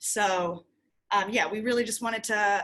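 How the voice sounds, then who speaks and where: An unremarkable speaking voice with an American accent moves at a fairly slow pace with ordinary pitch variation. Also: woman. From United States. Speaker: shop owner. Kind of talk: workshop presentation.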